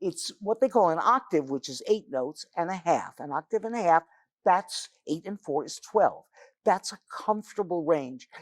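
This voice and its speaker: At a moderate pace, a woman of medium pitch speaks in an animated tone with lively intonation and big swings in loudness, in a dry, close sound with no echo. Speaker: musical playwright and songwriter. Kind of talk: interview.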